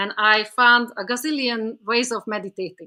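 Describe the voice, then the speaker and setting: A woman with a non-native accent and a bright, sharp tone. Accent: foreign. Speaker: author and spiritual teacher. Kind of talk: podcast interview. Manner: hesitant, many fillers and repetitions.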